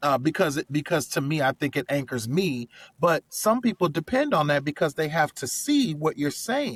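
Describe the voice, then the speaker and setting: In a very clean recording with a silent background and a dry, close sound with no echo, a man speaks at a moderate pace with lively intonation, a fairly high pitch and a somewhat breathy quality. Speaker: corporate trainer, learning strategist. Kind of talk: interview.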